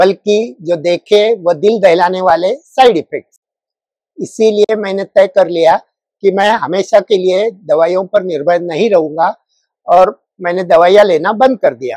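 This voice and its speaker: This man has a high pitch and a dark, mellow tone. His pitch varies in an ordinary way. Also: dry, close sound with no echo. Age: 60s. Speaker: retired government officer, patient. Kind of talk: testimony. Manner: formal.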